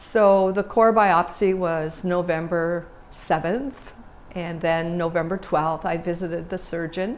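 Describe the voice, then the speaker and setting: A woman with a Canadian accent in an unremarkable speaking voice, with fairly even intonation and a fairly slow pace. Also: fairly low pitch for a woman. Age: 60s. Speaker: cancer survivor. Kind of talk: personal testimony.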